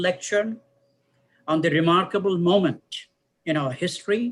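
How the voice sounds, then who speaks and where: A man with a high pitch and a Bengali accent, at a moderate pace. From Bangladesh. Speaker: professor. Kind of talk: formal lecture remarks. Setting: online live-streamed event. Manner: formal.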